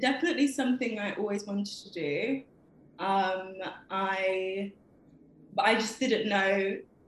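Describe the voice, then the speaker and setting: A woman of medium pitch with noticeable background noise. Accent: London. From London. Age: 20s. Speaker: poet. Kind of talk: interview. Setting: video call.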